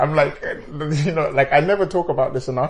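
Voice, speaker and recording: A man talks very fast in a fairly high, somewhat breathy voice, his pitch varying in an ordinary way. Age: 30s. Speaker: radio host. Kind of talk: casual chat.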